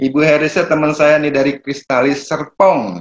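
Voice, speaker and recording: This is a man with a normal speaking voice and fairly high pitch. He talks at a moderate pace. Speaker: property broker and seminar speaker. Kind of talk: online seminar talk. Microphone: a bit far from the mic.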